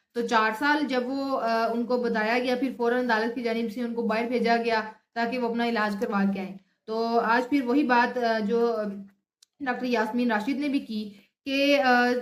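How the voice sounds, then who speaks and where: In a room with audible echo, a woman with a fairly high pitch speaks in a monotone, flat intonation. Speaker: news vlogger. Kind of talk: news commentary. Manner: halting with fillers.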